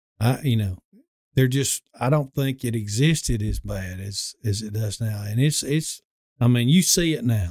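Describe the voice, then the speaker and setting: On a very clean recording with a silent background and a dry, close sound with no echo, a man with a Southern US accent speaks at a medium pitch and moderate pace with ordinary pitch variation. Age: 50s. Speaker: dentist. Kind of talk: casual chat. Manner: halting.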